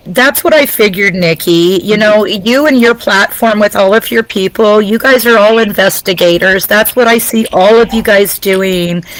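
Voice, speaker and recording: Woman's fairly high voice at a moderate pace, with ordinary pitch variation, very even loudness and noticeable background noise. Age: 50s. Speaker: guest relative of a victim. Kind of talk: testimony.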